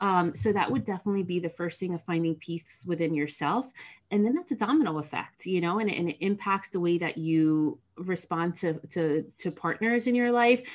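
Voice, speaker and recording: With an American accent and an unremarkable speaking voice, a woman talks at a moderate pace with a fairly low pitch, ordinary pitch variation and hardly any pauses against a quiet background. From New Jersey, US. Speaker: counselor. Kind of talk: podcast interview.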